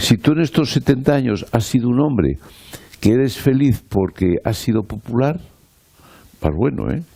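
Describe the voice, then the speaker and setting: Lively intonation comes through a dark, mellow tone at a moderate pace. Long pauses occur frequently. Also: man, medium pitch for a man. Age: 70s. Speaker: politician. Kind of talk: panel discussion. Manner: animated.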